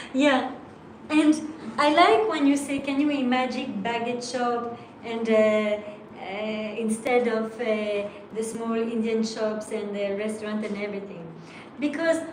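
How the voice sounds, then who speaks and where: A woman talks at a fairly slow pace with a fairly high pitch and ordinary pitch variation. Audible room echo and noticeable background noise surround her. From France. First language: French. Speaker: language teacher. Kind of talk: online class.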